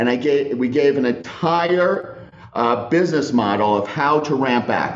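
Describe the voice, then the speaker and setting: At a fairly slow pace and very even loudness, a man speaks with ordinary pitch variation amid audible room echo and noticeable background noise. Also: medium pitch for a man. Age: 50s. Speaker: company CEO and founder. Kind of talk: interview. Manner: halting.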